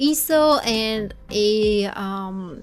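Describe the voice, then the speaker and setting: The woman's pitch shifts in an ordinary way. She has a bright, sharp tone. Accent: Bulgarian. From Bulgaria. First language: Bulgarian. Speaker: video game builder YouTuber. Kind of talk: gameplay commentary voiceover. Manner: jittery, babbling.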